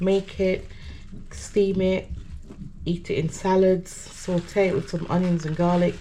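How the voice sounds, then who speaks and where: Here a woman speaks at a very slow pace in a Jamaican accent. Her pitch sits fairly low. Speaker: gardening vlogger. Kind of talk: casual vlog narration. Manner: casual and chatty.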